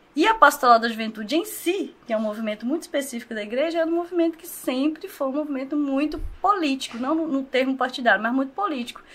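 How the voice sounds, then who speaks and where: Talking at a very fast pace with hardly any pauses, a high-pitched woman uses lively intonation and big swings in loudness over noticeable background noise. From Brazil, Governador Valadares (Minas Gerais). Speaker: social project leader. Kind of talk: casual interview.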